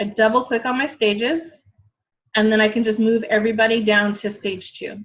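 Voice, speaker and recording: Somewhat breathy and fairly high-pitched, a woman speaks at a fairly quick pace with fairly even intonation. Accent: American. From US West, Southern California. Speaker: fitness coach. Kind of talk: tutorial.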